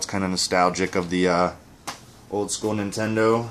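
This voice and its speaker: A man with a very deep, low voice talks at a moderate pace with fairly even intonation, and there is light background noise. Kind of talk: casual unboxing commentary. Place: home room. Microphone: camera far.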